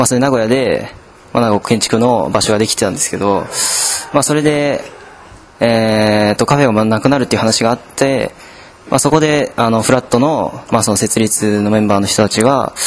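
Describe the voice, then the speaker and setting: There is noticeable background noise behind a man at medium pitch. He speaks at a moderate pace with fairly even intonation and very even loudness. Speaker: student group leader. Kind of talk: interview.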